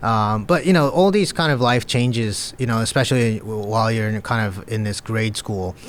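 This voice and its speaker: The man talks at a moderate pace. He leaves hardly any pauses. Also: medium pitch for a man, ordinary pitch variation. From Japan and US (moved to US at five, back to Japan as teen). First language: Japanese. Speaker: crypto broker executive. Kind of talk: interview. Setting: podcast.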